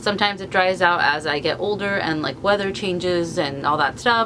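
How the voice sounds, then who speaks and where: A woman's fairly low voice with lively intonation, set against noticeable background noise. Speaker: beauty vlogger. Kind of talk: product review vlog. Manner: fast.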